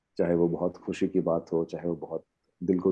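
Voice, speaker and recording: A man at a moderate pace, very deep and low in pitch, with an Odia accent. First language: Odia (speaking Hindi). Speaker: poet. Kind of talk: interview on a panel. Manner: halting, many fillers.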